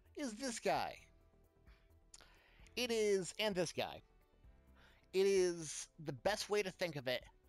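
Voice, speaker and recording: A man speaks in a high pitch at a very slow pace, with lively intonation. Long, frequent pauses break up his speech as music plays in the background. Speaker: video game content creator. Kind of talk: casual gameplay explainer. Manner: energetic, unscripted.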